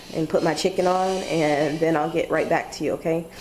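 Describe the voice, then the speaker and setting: Her pitch sits fairly low for a woman. Behind her voice there is noticeable background noise. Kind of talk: casual cooking tutorial to camera.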